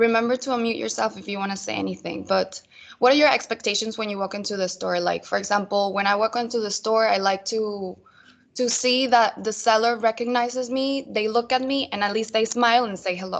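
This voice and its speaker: Fairly even intonation at a fairly quick pace. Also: woman. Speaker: retail sales trainer. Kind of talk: online training presentation. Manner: fast.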